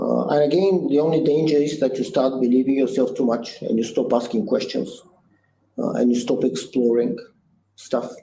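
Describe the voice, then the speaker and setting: With a Bulgarian accent, a man speaks at a moderate pace and medium pitch in a dark, mellow tone, with ordinary pitch variation, very even loudness and audible room echo. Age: 60s. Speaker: business founder and CEO. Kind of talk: interview. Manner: halting.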